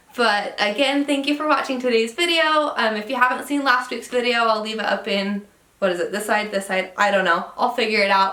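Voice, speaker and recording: A woman's fairly high voice in an American accent, fairly quick, with ordinary pitch variation and noticeable background noise. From Utah. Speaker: travel vlogger. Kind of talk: casual vlog monologue. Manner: casual with fillers.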